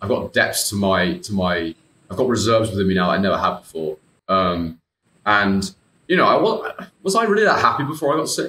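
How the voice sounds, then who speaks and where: Audible room echo surrounds a man who talks at a fairly quick pace with a British accent. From UK. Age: 20s. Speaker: IBD patient and former coaching client; interview guest. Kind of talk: casual interview chat. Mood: reflective, candid. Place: home room. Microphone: earbuds.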